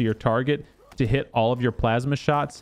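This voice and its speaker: A man speaks at medium pitch with ordinary pitch variation in a plain, everyday voice. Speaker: gaming YouTuber. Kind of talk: tutorial.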